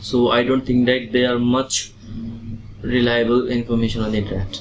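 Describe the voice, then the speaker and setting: Amid noticeable background noise, a man speaks at medium pitch and a moderate pace with monotone, flat intonation. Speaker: IELTS test candidate. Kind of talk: exam interview answers.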